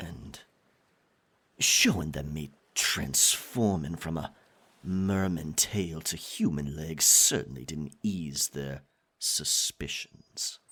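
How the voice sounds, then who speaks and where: In a put-on character voice with a menacing tone, the speaker goes at a very slow pace. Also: man, very deep, low pitch for a man. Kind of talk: ASMR roleplay. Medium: audio drama. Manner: possessive, swinging between tender and menacing.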